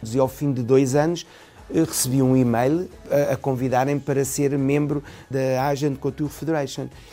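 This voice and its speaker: The speaker has a European Portuguese accent and a monotone, flat intonation. The pace is moderate, and there is noticeable background noise. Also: man, fairly high pitch for a man. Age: 50s. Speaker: fashion designer. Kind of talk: interview. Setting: his atelier.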